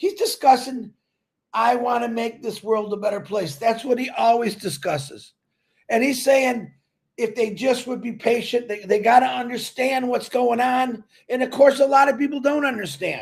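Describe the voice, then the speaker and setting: Loud and animated, a man talks at an extremely high pitch and a moderate pace, with ordinary pitch variation. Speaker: online business promoter. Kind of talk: casual livestream chat.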